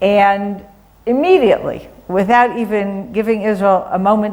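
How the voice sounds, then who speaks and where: This voice has an American accent and ordinary pitch variation. Audible echo fills the room. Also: woman. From US Midwest, Cleveland, Ohio. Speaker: advocacy organization director. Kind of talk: talk to church congregation. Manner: conversational, with hesitations.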